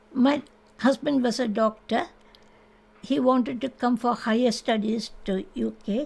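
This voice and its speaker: A woman's somewhat breathy voice with an Indian accent, fairly slow, with ordinary pitch variation. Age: 80s+. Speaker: interviewee sharing life story. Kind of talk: oral history interview. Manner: halting.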